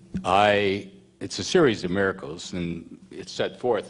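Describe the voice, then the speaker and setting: Delivery moves at a moderate pace. It comes in an American accent. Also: man. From US Midwest, Missouri Ozarks. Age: 70s. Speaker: retired politician and author. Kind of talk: personal testimony speech.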